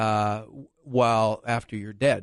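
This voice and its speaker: This man has an ordinary speaking voice at a medium pitch. His intonation is fairly even, and the background is quiet. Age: 60s. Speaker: lawyer. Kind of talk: radio interview.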